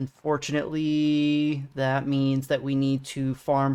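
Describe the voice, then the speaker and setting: The speaker has a relaxed tone and a Northeastern US accent. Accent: American Northeast accent, self-described. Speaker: video game streamer. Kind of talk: live gameplay commentary and chat with viewers. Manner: casual, relaxed.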